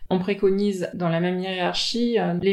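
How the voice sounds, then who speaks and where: A woman speaks at a fairly slow pace with a medium pitch and fairly even intonation. Her tone is dark and mellow. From Tahiti. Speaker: general practitioner. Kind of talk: interview.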